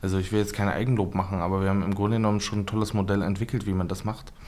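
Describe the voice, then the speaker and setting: Flat and monotone, the man's voice sits at a fairly low pitch. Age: 30s. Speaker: member of parliament. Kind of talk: casual chat.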